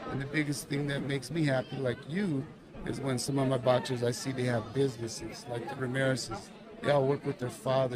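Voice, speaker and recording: A man with an American accent speaks fairly quickly at a medium pitch with ordinary pitch variation. Room echo is audible, and a crowd can be heard in the background. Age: 60s. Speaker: boxing coach. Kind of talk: casual interview chat.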